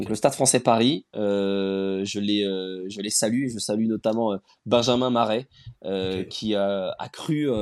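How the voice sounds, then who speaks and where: Fairly even intonation from a man, his pitch fairly low. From Rennes, Brittany, France. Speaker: startup founder. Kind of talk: interview. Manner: hesitant, many fillers.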